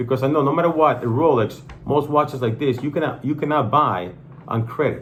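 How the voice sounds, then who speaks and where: A man with a non-native accent speaks in a fairly high pitch with an animated tone, and audible room echo is present. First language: not English. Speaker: watch channel host. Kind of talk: casual product review chat.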